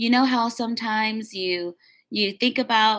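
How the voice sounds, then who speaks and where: This woman's voice sits at a fairly high pitch with ordinary pitch variation. The recording is very clean, with a silent background. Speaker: spiritual channeler and intuitive reader. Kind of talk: casual guidance talk to camera. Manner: animated.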